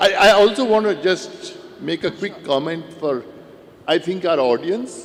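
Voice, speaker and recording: A man speaks at a fairly slow pace with a high pitch. His intonation is lively, and background noise is noticeable. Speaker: investor, fund manager on panel. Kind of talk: panel discussion.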